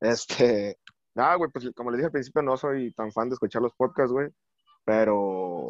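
An unremarkable speaking voice moves at a fairly slow pace with ordinary pitch variation, the sound dry and close with no echo and the background quiet. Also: man, medium pitch for a man. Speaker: bartender and Twitter personality. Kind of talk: casual chat.

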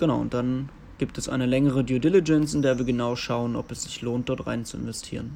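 A man speaking very fast, with ordinary pitch variation. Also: medium pitch for a man. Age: 20s. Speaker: investment analyst. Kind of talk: recorded interview answers.

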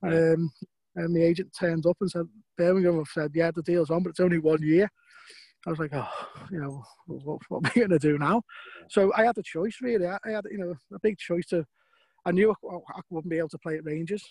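A man with a Liverpool accent talks at a very fast pace and a high pitch, with fairly even intonation. Long, frequent pauses break his speech, and the sound is dry and close with no echo. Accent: Scouse. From Liverpool, England. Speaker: former footballer and football agent. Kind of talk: casual interview.

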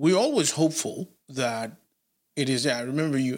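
A man's speech has ordinary pitch variation and a fairly slow pace. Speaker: podcast host. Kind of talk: interview on podcast.

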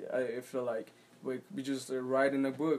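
The pitch of this man's voice is medium. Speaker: poet and musician. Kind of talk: casual interview chat. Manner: halting, searching for words.

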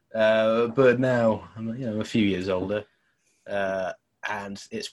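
With an English accent, a man speaks at a fairly slow pace in a fairly low pitch with ordinary pitch variation. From England. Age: 20s. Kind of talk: casual chat.

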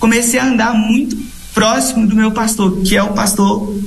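A man's fairly evenly intoned voice with audible room echo and noticeable background noise. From Pará, Brazil (Redenção). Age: 20s. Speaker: missionary. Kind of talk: interview.

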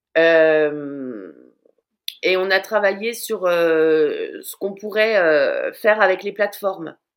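Here is a woman speaking at a medium pitch. Her pitch varies in an ordinary way. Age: 40s. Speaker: social media watchdog and content creator. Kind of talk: interview. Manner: halting, with many repeated words.

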